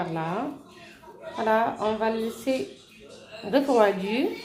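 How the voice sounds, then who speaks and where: A soft-spoken woman with a fairly high pitch and lively intonation talks at a very slow pace, with audible room echo and noticeable background noise. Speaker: home cooking vlogger. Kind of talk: cooking tutorial. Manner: halting, many hesitations.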